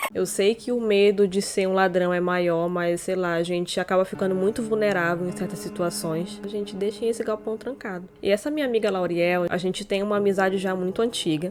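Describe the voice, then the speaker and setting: With music playing in the background, a woman speaks at a fairly quick pace in a medium pitch. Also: hardly any pauses. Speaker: YouTuber. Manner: slurred, tongue-tied from costume fangs; animated.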